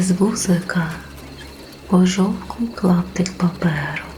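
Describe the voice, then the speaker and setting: Soft-spoken, the voice has a gentle, calm tone at a very slow pace. Music plays in the background. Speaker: sleep story narrator. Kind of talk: sleep story narration. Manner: soft, gentle, calm.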